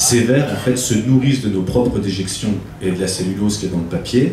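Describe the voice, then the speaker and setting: There is audible room echo and noticeable background noise. A man speaks at a moderate pace with ordinary pitch variation. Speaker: farm guide giving a tour. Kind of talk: guided tour explanation. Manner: hesitant, many fillers.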